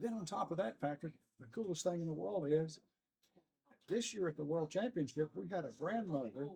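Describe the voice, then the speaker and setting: A man talks at a fairly quick pace and fairly high pitch, with very wide pitch swings. His tone is dark and mellow. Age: 60s. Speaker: long drive organization founder. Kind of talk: interview.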